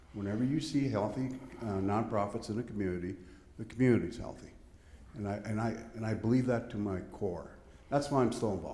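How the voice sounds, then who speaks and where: A man speaks at a moderate pace with a fairly low pitch and ordinary pitch variation. There is audible room echo. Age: 70s. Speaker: audience member, volunteer fundraiser. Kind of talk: audience question.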